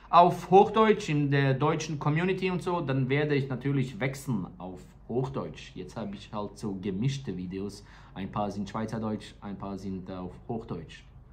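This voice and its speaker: In a Serbian accent, a man with a medium, somewhat breathy voice talks at a moderate pace with very wide pitch swings and big swings in loudness, all in audible room echo. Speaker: tattoo artist and vlogger. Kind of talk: casual vlog talk.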